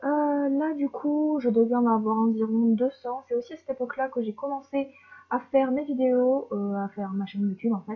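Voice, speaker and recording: Her voice is high-pitched, with ordinary pitch variation, as the woman talks at a moderate pace. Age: 20s. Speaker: hobby YouTuber. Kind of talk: casual narration. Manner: hesitant, many fillers.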